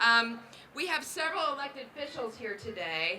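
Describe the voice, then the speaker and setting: Amid noticeable background noise and audible room echo, a woman speaks at a moderate pace in a fairly high pitch. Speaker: library official. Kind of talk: ceremonial speech.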